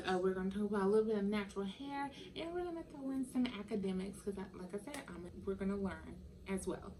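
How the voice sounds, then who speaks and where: Lively intonation over noticeable background noise. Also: woman. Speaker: vegan lifestyle vlogger. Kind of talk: casual vlog monologue. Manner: careful enunciation; halting, many fillers.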